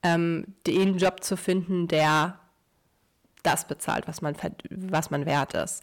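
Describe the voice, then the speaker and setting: A woman of medium pitch talks at a very slow pace with ordinary pitch variation. The recording is very clean, and the background is silent. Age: 30s. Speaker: podcast host, lawyer and entrepreneur. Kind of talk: solo podcast monologue with story reading.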